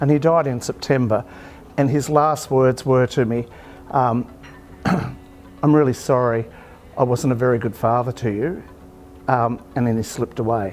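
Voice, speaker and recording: A man with an Australian accent talks at a moderate pace and medium pitch, with long, frequent pauses. His intonation is fairly even, and music plays in the background. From Australia, rural Victoria near Echuca. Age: 60s. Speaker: chef and restaurant owner. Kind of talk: interview conversation. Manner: hesitant with frequent ums.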